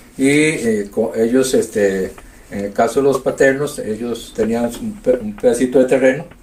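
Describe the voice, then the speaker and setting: This man speaks at a fairly slow pace, with a medium pitch and ordinary pitch variation. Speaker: community elder. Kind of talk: oral history interview. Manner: halting.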